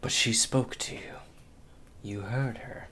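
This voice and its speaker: Against clear background noise, a man whispers fairly slowly in a put-on character voice. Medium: actual play. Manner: cold, menacing.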